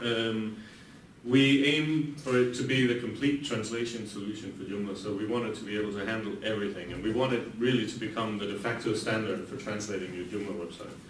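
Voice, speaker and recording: With a Danish accent and a medium pitch, a man speaks at a fairly quick pace with ordinary pitch variation, amid audible room echo and noticeable background noise. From Denmark. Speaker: software company CEO. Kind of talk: conference talk. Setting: conference room with audience. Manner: hesitant, many fillers; fast.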